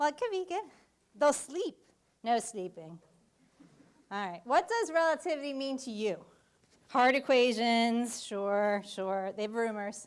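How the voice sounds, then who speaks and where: A loud, animated woman's voice at a fairly high pitch and a fairly slow pace, with very wide pitch swings and long, frequent pauses. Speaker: physics professor. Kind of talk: public lecture. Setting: lecture hall with audience.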